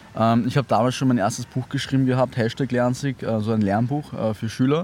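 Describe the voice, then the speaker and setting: In an unremarkable speaking voice, a man talks at a fairly quick pace with a medium pitch. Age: 20s. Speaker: startup founder and author. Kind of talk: interview. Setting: outdoors in a park.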